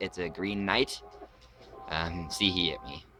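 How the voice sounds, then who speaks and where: A man speaks with music in the background. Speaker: let's play gamer. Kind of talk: game commentary. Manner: fast.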